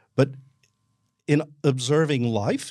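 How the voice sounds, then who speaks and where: In a very clean recording with a silent background, a man with an Australian accent talks at a very slow pace with ordinary pitch variation. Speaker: self-awareness coach. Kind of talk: casual conversation.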